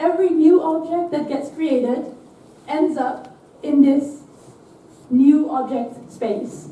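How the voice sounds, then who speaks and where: A woman's high voice at a very slow pace with ordinary pitch variation and long, frequent pauses, in audible room echo. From Netherlands. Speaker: software developer, conference speaker. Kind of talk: conference talk. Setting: stage with audience.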